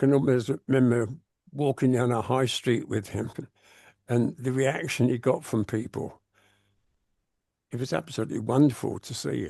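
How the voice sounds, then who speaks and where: This man speaks at a moderate pace, his medium pitch carrying vocal fry and a dark, mellow tone. Long, frequent pauses break up his speech over a quiet background. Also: fairly even intonation. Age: 80s+. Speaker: retired comics editor and writer. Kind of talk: casual chat.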